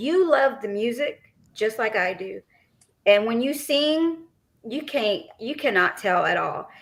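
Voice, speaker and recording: A woman speaks with a Texas accent in a high voice, her intonation lively. She talks at a fairly slow pace with long, frequent pauses. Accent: Texas twang. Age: 40s. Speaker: podcast co-host. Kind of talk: casual chat.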